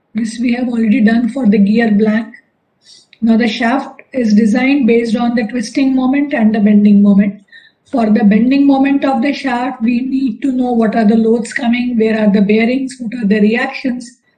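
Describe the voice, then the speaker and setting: A woman speaks with a fairly high pitch and monotone, flat intonation at a moderate pace, with audible room echo. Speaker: engineering lecturer. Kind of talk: lecture.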